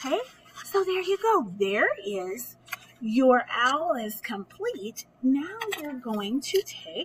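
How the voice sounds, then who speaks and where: Very slow speech comes from a woman with a high pitch. There is light background noise. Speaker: teacher. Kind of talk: craft tutorial for kids. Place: home room. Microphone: webcam.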